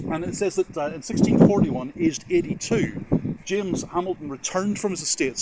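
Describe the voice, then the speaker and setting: This man talks fairly quickly with lively intonation while noticeable noise fills the background. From Northern Ireland. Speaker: genealogy video host. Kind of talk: casual educational talk to camera. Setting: on location at a church. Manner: hesitant with fillers and repetitions.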